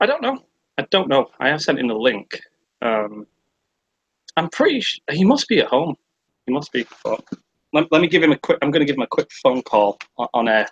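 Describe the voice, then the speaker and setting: Speaking with a British accent at a fairly quick pace, a man leaves long, frequent pauses, and the sound is dry and close with no echo. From Britain. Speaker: livestream host. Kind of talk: casual chat. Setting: livestream from home (sister's room). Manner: animated, hesitant with many ums.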